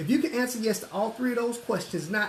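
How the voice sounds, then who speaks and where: The man's delivery is very fast. His accent is Southern US. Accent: southern twang. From US South, Atlanta, Georgia. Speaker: financial services recruiter. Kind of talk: sales pitch.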